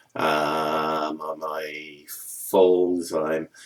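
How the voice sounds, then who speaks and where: This man talks with an Australian accent. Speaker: vlogger with a neurological disorder. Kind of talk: personal video update. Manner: halting, heavy repetitions.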